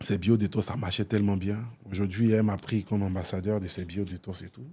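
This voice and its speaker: A man with an Ivorian accent speaks in a fairly low, dark, mellow voice with fairly even intonation and big swings in loudness. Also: fairly quick pace. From Côte d'Ivoire. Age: 30s. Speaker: influencer and philanthropist. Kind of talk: talk show interview. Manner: casual, hesitant with fillers.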